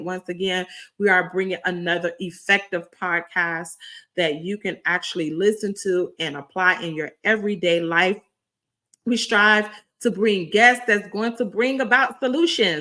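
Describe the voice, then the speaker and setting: A raspy, put-on character voice moves at a moderate pace on a very clean recording with a silent background. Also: woman, medium pitch for a woman. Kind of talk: upbeat podcast host. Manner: enthusiastic.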